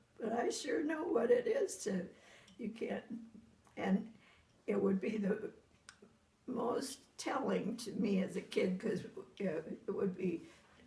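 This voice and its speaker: A woman's somewhat breathy voice, fairly high in pitch and fairly slow in pace. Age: 90s. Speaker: elderly mother being visited. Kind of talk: casual family chat.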